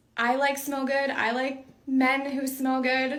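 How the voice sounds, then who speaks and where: A woman speaks at a fairly slow pace with high pitch. Audible room echo surrounds her voice. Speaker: content creator. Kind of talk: casual chat.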